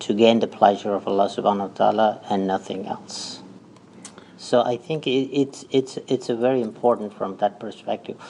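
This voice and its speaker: This man talks at a moderate pace and a medium pitch. His intonation stays fairly even. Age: 60s. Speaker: community organization leader, election candidate. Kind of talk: radio interview. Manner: halting.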